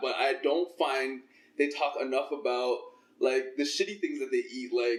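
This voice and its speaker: A man speaks with a Toronto accent. His pace is moderate. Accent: Canadian English (Toronto). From Toronto, Canada (Scarborough). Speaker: fitness trainer and podcast host. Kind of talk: casual interview chat.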